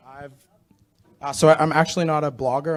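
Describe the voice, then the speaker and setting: The pace here is fairly quick. The man talks with an American accent. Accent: American-sounding. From Australia, expatriate family abroad. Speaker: travel photographer. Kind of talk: panel discussion.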